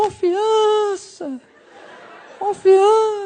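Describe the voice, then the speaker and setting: The put-on character voice is squeaky and extremely high in pitch. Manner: booming, cinematic.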